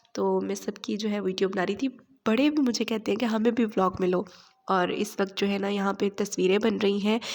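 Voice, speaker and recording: At a moderate pace, a woman speaks at medium pitch with vocal fry and fairly even intonation. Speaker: vlogger. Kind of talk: vlog narration.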